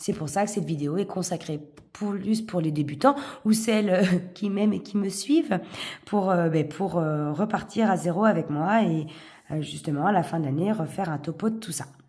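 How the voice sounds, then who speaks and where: Her voice is fairly low and somewhat breathy, with ordinary pitch variation. The woman talks at a moderate pace. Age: 40s. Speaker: vlogger, single parent. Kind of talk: casual chat, budgeting tutorial. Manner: hesitant, many fillers.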